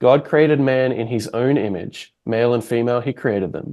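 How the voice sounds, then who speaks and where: Against a quiet background, a man with an Australian accent speaks at a moderate pace in a medium pitch with a dark, mellow tone. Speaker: podcast host. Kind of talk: interview conversation.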